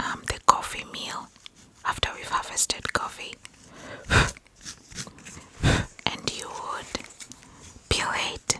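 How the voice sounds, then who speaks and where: A woman whispers with long, frequent pauses and big swings in loudness over noticeable background noise. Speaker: ASMR creator. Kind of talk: storytelling about childhood memories. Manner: soft, whispered.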